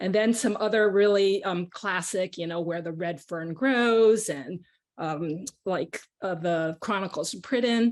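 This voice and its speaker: This woman talks with a Chinese accent. Her pace is fairly slow. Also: medium pitch for a woman, ordinary pitch variation. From Caracas, Venezuela (American school). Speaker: children's author. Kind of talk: panel discussion. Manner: hesitant, many fillers.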